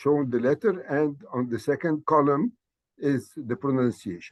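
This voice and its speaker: A man with an Arabic accent, at a fairly slow pace. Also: dry, close sound with no echo. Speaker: language teacher. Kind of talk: lecture. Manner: halting, many fillers.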